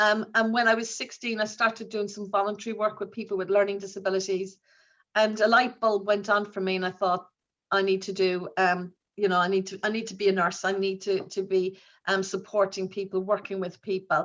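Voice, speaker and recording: Monotone, flat intonation at a fairly quick pace, in an Irish accent. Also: woman, medium pitch for a woman. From Ireland. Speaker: nurse leader. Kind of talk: conference talk. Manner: halting, many fillers.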